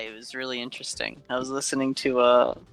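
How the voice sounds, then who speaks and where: A man's medium-pitched voice is heard over music in the background. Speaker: podcast co-host.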